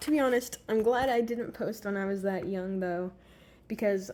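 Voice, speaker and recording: The speaker is a woman. Her voice has a dark, mellow tone. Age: 20s. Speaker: vlogger. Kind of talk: reading aloud.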